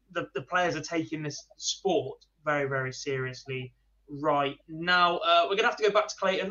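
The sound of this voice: With a bright, sharp tone and fairly high pitch, a man speaks at a moderate pace using ordinary pitch variation.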